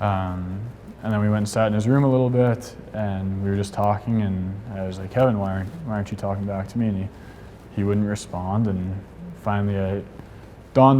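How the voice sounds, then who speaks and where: A man's fairly low, dark and mellow voice carries fairly even intonation amid audible room echo. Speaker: veteran. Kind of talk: testimony. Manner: halting.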